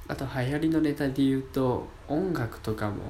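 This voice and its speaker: A man with a medium-pitched voice talks at a moderate pace, with audible room echo and noticeable background noise. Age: 20s. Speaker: amateur radio app podcaster, university student. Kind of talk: solo casual talk. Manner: casual, chatty.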